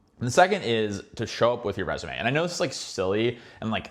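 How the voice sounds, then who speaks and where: With noticeable background noise behind him, a medium-pitched man with an American accent speaks in an animated tone. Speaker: finance YouTuber giving career advice. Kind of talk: casual advice monologue. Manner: fast.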